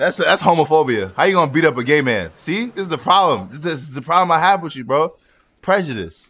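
Very fast and bright with a sharp tone, this man's fairly high voice has lively intonation, vocal fry and big swings in loudness on a very clean recording with a silent background. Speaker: gaming YouTuber. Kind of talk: casual gaming chat with friends. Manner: animated.

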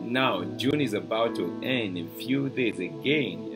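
Clear music plays behind a man who speaks at a very slow pace. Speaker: preacher hosting a broadcast. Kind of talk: sermon. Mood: warm, enthusiastic. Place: home room.

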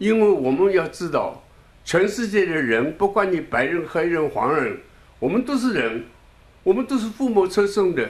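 A man talks at a high pitch and a moderate pace with very wide pitch swings. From Shanghai, China. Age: 80s+. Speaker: elderly political supporter; interviewee. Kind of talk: new year address. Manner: halting. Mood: earnest, encouraging. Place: home room. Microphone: handheld.

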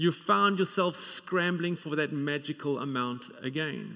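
Against a quiet background, a man speaks at a moderate pace in a bright, sharp tone with ordinary pitch variation. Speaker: preacher. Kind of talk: sermon. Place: church.

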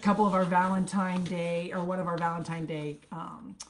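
A woman speaks at a fairly low pitch. Light noise runs in the background. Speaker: product seller hosting a live stream. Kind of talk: casual live-stream product chat. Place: home room. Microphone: webcam.

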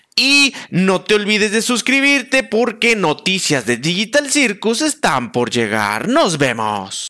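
Against a quiet background, a man speaks very slowly in a raised, projected voice, his pitch swinging very widely. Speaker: content creator. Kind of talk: casual commentary while browsing a website. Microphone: headset.

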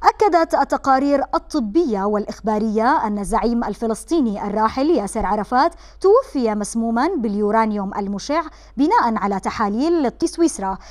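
Using an unremarkable speaking voice, a woman with a fairly high pitch and lively intonation keeps a moderate pace with hardly any pauses. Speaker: TV presenter. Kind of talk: interview; news reading.

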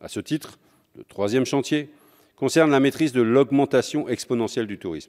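With a quiet background behind him, a man talks at a moderate pace with ordinary pitch variation. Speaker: communist member of parliament. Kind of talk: parliamentary speech in the National Assembly, formal oratory delivered from the rostrum. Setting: National Assembly chamber. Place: hall. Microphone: podium.

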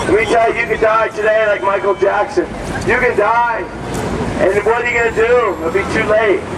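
There is noticeable background noise. The speaking pace is moderate. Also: man. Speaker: street preacher. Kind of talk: street preaching to passersby. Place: street.

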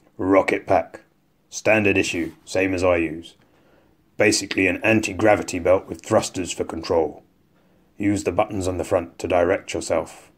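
A man's put-on character voice, fairly low in pitch, at a moderate pace. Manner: curt, commanding, impatient.

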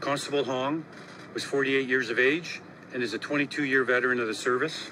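This man's intonation stays fairly even, with noticeable background noise in the recording. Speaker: police chief. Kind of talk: press conference statement. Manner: trembling voice. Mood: grieving, voice trembling. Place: street. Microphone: handheld.

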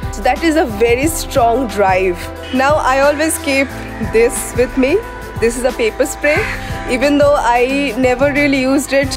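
A woman talks at a moderate pace with ordinary pitch variation. Clear music plays in the background. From India. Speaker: travel writer and vlogger. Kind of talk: casual talk to camera. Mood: calm, earnest advice. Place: garden. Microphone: phone near.

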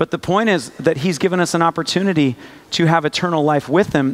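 At a fairly quick pace, a man speaks with ordinary pitch variation. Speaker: preacher. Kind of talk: sermon. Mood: light, humorous, earnest. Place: church.

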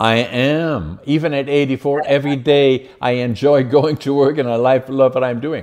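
A man speaks with a Dutch accent. The background is quiet. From Netherlands. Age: 80s+. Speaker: podcast host and businessman; podcast host. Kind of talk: podcast interview. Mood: cheerful, animated storytelling.

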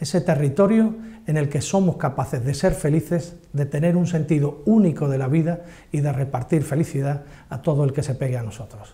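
A man with an Andalusian accent talks at a fairly quick pace and a fairly high pitch, his pitch varying in an ordinary way. His tone is dark and mellow and somewhat breathy. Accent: Andalusian, with ceceo. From Cádiz, Andalusia, Spain. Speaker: journalist. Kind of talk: personal spoken testimony. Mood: heartfelt, proud, nostalgic. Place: studio. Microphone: lapel.

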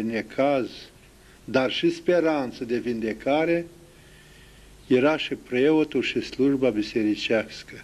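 At a very slow pace, a man speaks with ordinary pitch variation. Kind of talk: interview answer. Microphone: handheld.

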